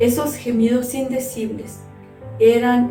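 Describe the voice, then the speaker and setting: Music plays in the background. A woman with a high pitch speaks at a very slow pace. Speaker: pastor's wife and church teacher. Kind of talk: sermon / Bible teaching to women.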